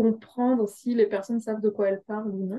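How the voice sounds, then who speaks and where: A woman's fairly high-pitched voice with a dark, mellow tone and monotone, flat intonation. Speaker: human resources director. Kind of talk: panel interview.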